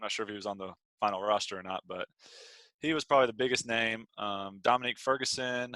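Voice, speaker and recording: A man with an American accent at a medium pitch and a very fast pace, bright, sharp tone, ordinary pitch variation, big swings in loudness, and a dry, close sound with no echo. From US South, Atlanta, Georgia. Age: 20s. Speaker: pro basketball player. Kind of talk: interview.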